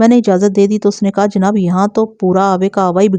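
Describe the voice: Reading aloud, plain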